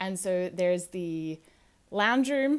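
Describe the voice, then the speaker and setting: On a very clean recording with a silent background, a woman of medium pitch speaks with an American accent. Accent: sounds American. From Australia, small town. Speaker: podcast host. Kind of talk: casual monologue.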